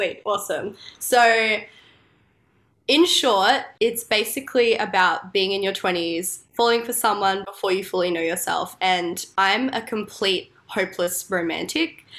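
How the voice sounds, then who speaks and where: A woman uses a normal speaking voice at a fairly slow pace with ordinary pitch variation, in a very clean recording with a silent background. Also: medium pitch for a woman. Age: 20s. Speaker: singer-songwriter. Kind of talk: casual interview chat.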